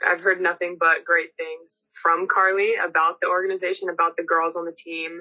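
This is an unremarkable speaking voice with an American accent. It moves at a moderate pace with ordinary pitch variation. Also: woman. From Los Angeles, California. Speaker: pro basketball player. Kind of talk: press conference statement and answers. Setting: video call press conference.

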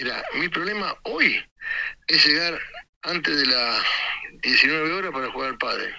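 A man at a fairly slow pace with long, frequent pauses. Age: 60s. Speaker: boat ramp owner, caller. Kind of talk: casual chat.

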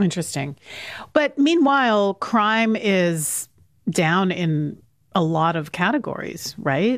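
In a very clean recording with a silent background, a woman with a medium pitch speaks at a very slow pace with very wide pitch swings. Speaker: radio host. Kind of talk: radio news interview.

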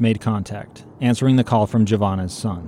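A man speaks in an ordinary speaking voice at a moderate pace, his medium pitch moving with ordinary variation. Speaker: podcast host and narrator. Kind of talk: scripted narration.

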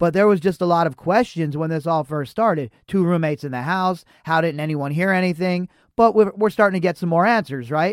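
A man with an American accent talks at a fairly quick pace in a high pitch, with hardly any pauses and ordinary pitch variation. The very clean recording has a dry, close sound with no echo and a silent background. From Las Vegas, US. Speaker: podcast host. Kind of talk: casual commentary reading news articles.

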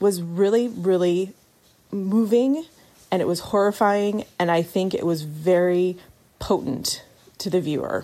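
This woman has a medium-pitched voice with a dark, mellow tone, ordinary pitch variation and an American accent. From Oregon. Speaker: listener giving voice feedback. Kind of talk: recorded voice message.

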